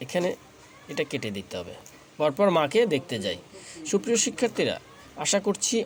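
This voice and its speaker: Noticeable background noise runs under this recording. A man talks with very wide pitch swings. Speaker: English teacher. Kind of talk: tutorial.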